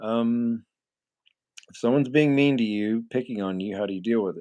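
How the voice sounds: A nasal man with a dark, mellow tone speaks with fairly even intonation. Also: medium pitch for a man, moderate pace.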